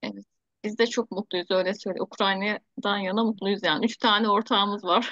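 A woman talks at a medium pitch and moderate pace with a bright, sharp tone and fairly even intonation, the sound dry with no echo against a quiet background. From Turkey. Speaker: teacher, project founder leading a video meeting; teacher. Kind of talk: online meeting, casual-formal chat. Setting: video call. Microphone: video call.

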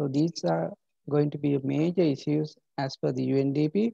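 A quiet background and a dry sound with no echo. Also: man. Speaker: university lecturer. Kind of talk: lecture. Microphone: webcam.

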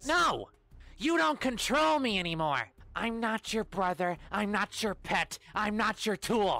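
A cartoonish character voice, female-sounding, fairly high in pitch, at a fairly slow pace. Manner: indignant, angry, shouting.

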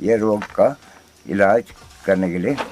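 Noticeable background noise sits behind a man with a fairly low pitch and lively intonation. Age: 70s. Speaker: Ayurvedic herbal healer. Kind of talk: interview answer.

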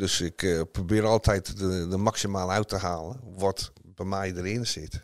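Over a silent background in a very clean recording, the speech moves at a fairly slow pace with fairly even intonation. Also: man, very deep, low pitch for a man. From northern England (Northumberland). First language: English (speaking Dutch). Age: 60s. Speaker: former footballer, golf teacher. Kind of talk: interview. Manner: hesitant, many fillers.

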